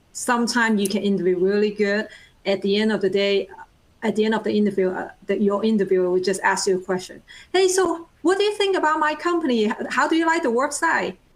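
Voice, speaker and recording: Talking at a very fast pace, a woman keeps her loudness very even. Her pitch is fairly high and her intonation lively. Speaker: project manager. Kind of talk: panel discussion. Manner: talkative.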